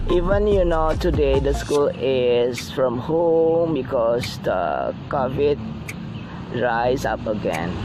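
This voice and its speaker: Over noticeable background noise, someone speaks very slowly with an Indonesian accent. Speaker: art teacher. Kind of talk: drawing tutorial. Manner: halting.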